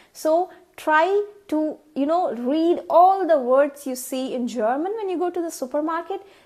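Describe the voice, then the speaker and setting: A woman with a Tamil accent, extremely high in pitch, at a fairly slow pace with ordinary pitch variation. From India (Tamil). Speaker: vlogger. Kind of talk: tutorial. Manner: casual, with frequent fillers.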